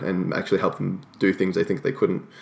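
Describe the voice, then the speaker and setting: A man speaks with an Australian accent in a very deep, low pitch, keeping his intonation fairly even. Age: 20s. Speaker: personal trainer. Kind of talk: interview.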